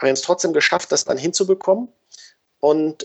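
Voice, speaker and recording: Male voice with ordinary pitch variation. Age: 30s. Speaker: sports photographer. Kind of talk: interview. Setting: video call. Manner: halting, many fillers.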